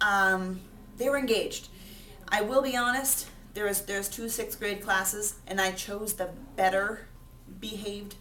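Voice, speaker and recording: Audible room echo surrounds a woman's voice. She has a medium pitch and a fairly slow pace. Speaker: sixth grade teacher. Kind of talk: self-reflection monologue to camera.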